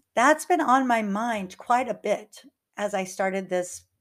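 A plain, everyday voice, a woman's medium pitch with lively intonation at a moderate pace, on a very clean recording with a silent background. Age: 50s. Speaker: life coach and podcast host. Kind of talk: solo podcast monologue.

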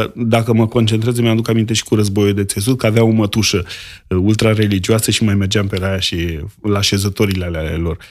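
An unremarkable speaking voice from a man, fairly low in pitch, at a fairly quick pace with fairly even intonation, on a very clean recording with a silent background. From rural Romania. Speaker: grocer and restaurateur. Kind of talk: casual chat.

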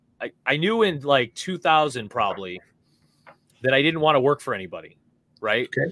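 Vocal fry runs through this American-accented voice, which moves at a fairly quick pace with very wide pitch swings and big swings in loudness. Long pauses come often. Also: man, fairly high pitch for a man. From upstate New York (Oswego/Syracuse area). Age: 40s. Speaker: microgreens farmer and entrepreneur. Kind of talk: casual chat.

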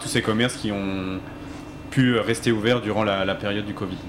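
Against noticeable background noise, a man with fairly low pitch speaks at a moderate pace in monotone, flat intonation. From Alsace. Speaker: company founder, hunter. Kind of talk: panel discussion.

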